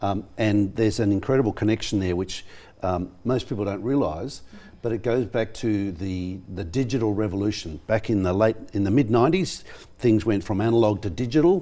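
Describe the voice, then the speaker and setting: The voice is dark and mellow in tone, with an Australian accent, a fairly quick pace and ordinary pitch variation. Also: man, fairly low pitch for a man. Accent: thick Australian. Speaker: professor. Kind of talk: studio interview. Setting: TV studio. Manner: halting, many fillers.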